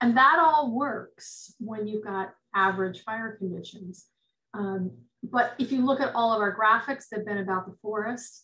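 A woman speaks at a fairly slow pace in a fairly high pitch, her tone bright and sharp with ordinary pitch variation. Her loudness swings widely against a quiet background. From US West Coast, rural Northern California. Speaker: forestry extension advisor. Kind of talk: lecture; webinar talk and Q&A answer. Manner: halting. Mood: thoughtful, calm. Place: home room. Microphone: webcam.

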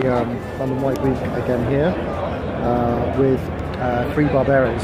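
A man at a fairly slow pace, dry sound with no echo, music in the background. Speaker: wine reviewer. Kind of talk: casual vlog chat. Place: bar. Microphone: phone near.

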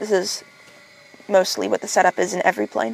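The recording has a dry sound with no echo. A woman speaks at a fairly quick pace. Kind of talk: interview answer. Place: plane.

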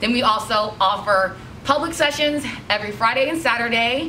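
Light background noise under a woman's speech at a moderate pace. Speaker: studio instructor. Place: shop.

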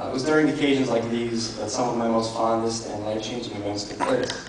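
Strong room echo and noticeable background noise surround a man talking at a fairly quick pace. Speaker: best man; elementary school teacher. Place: hall. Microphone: handheld.

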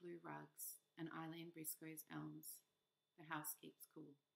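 Soft-spoken and gentle in tone, a woman speaks very slowly at a very deep, low pitch. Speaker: poet reader. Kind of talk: poem reading. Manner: gentle, soft, measured. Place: home room. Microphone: webcam.

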